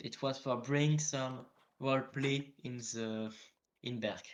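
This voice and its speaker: A man talks in a French accent. His intonation is fairly even. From northern France. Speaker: interviewee, game role-player. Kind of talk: interview. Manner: halting.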